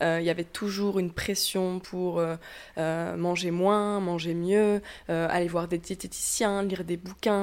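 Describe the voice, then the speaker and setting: At a fairly slow pace, a woman speaks in a normal speaking voice at medium pitch with fairly even intonation. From southwestern France. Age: 20s. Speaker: YouTuber on self-acceptance. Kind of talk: interview conversation.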